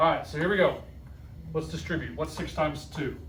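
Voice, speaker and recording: A man talks at a very fast pace with an American accent. Audible room echo is present. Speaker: math teacher. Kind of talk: classroom lesson. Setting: classroom with students. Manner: animated.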